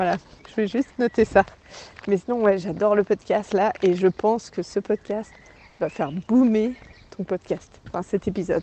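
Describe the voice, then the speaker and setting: Speaking with a Swiss accent, a woman uses a medium pitch and ordinary pitch variation at a moderate pace, pausing long and often, in a dry, close sound with no echo. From Switzerland. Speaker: listener and friend. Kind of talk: voice message. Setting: outdoors going shopping. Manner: animated.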